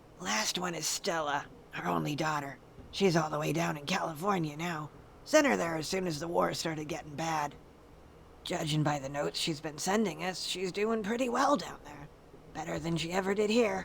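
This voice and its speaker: Using a put-on character voice that is raspy, the speaker talks at a middle pitch and a moderate pace over clear background noise. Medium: video game. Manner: blunt, plainspoken.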